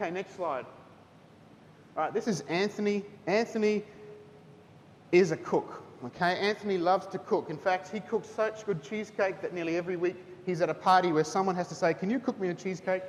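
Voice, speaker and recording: Over noticeable background noise, a man with a New Zealand accent talks at a fairly quick pace in a high pitch, with fairly even intonation and long, frequent pauses. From Singapore and New Zealand (missionary kid). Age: 30s. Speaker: teacher. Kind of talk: testimony talk to students at school chapel. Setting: school chapel with student audience. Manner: casual, conversational.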